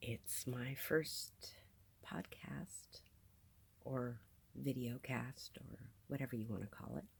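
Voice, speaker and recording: A woman speaks very slowly in an American accent, with a very deep, low pitch and vocal fry. She leaves long, frequent pauses. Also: ordinary pitch variation. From New Jersey, US. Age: 50s. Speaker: video podcaster. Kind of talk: casual monologue. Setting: on a sailboat in a marina.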